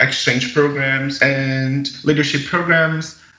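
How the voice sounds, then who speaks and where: At a moderate pace, a man with a Brazilian accent speaks in a fairly high, monotone, flat voice over noticeable background noise. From Brazil, Minas Gerais countryside. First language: Portuguese. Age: 20s. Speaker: young agriculture ambassador and student. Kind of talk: interview storytelling.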